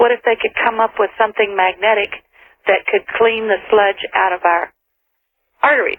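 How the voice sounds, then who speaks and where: At a moderate pace, the speaker keeps very even loudness and fairly even intonation, with long, frequent pauses. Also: woman, fairly high pitch for a woman. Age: 60s. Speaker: caller. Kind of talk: call-in radio talk.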